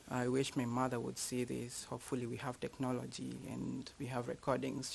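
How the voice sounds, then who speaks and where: Here a man talks with a Kenyan accent. His pace is moderate. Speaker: university lecturer. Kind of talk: public talk. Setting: library event with audience.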